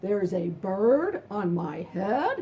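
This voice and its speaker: A woman uses a put-on character voice at a medium pitch. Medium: read story. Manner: anxious, exclaiming.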